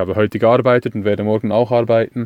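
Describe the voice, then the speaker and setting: Flat and monotone, a man talks at a moderate pace in a dry, close recording with no echo. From Switzerland. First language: Swiss German (speaking German). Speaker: van dweller. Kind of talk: recorded tips monologue.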